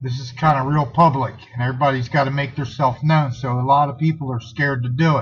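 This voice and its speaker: A somewhat breathy man's voice, fairly high in pitch, at a moderate pace. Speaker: political activist vlogger. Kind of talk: impromptu political call to action.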